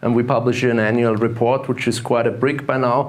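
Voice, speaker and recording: A man at medium pitch with an Austrian accent, amid noticeable background noise and audible room echo. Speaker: investment fund manager and gold analyst. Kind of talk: conference talk. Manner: hesitant, many fillers and repetitions.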